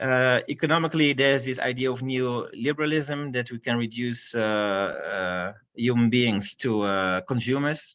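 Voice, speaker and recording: In a very clean recording with a silent background, a man speaks at a moderate pace. His pitch is medium, with ordinary pitch variation. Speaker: conference speaker. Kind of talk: lecture. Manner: halting.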